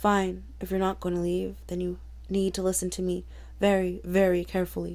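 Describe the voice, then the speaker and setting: A woman performs a put-on character voice that is quiet and rumbling. She talks at a moderate pace. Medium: read story. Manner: quiet, low, grim.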